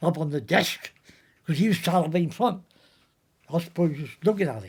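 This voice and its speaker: A man with a strong West Country accent speaks at a high pitch and a moderate pace. His pitch variation is ordinary, and his loudness swings widely. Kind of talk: anecdotal storytelling.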